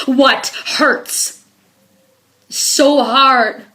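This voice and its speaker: Intense in tone, a woman speaks at a high pitch. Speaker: spoken word poet, activist. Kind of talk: spoken word poetry performance. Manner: emotional, intense.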